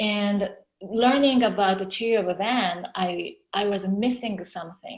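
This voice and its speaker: Somewhat breathy, a woman with a Japanese accent speaks at a fairly slow pace. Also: medium pitch for a woman, ordinary pitch variation. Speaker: counseling professor. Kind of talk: interview. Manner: hesitant, with fillers.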